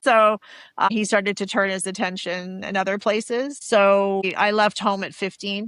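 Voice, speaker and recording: A woman with a Canadian accent speaks at medium pitch and a moderate pace. Her intonation is fairly even, and the sound is dry and close with no echo. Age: 50s. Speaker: abuse survivor. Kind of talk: testimony. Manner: halting.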